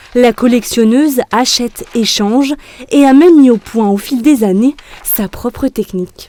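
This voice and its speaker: A woman speaks at a fairly slow pace with a fairly high pitch and ordinary pitch variation. The sound is dry and close with no echo, though noticeable background noise is present. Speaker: news reporter. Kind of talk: TV news report narration.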